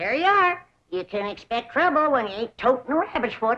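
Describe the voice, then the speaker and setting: This woman uses a put-on character voice in a Southern US accent, high-pitched and at a fairly quick pace. Her pitch swings very widely. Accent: rural Southern hillbilly. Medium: short film. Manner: folksy, plain-spoken.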